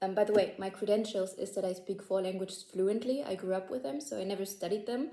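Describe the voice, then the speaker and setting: Speaking at a very fast pace with hardly any pauses, a woman with a German accent uses a medium pitch and ordinary pitch variation. Her tone is dark and mellow. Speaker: language-learning YouTuber. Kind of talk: casual tutorial to camera. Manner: casual, filler-heavy, self-correcting.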